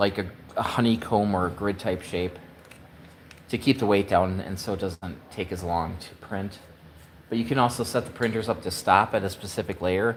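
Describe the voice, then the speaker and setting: The man's voice sits at a fairly low pitch with fairly even intonation. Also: moderate pace. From US Midwest, Wisconsin. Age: 50s. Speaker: woodworking maker. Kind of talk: live stream chat. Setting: workshop. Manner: casual, halting with fillers.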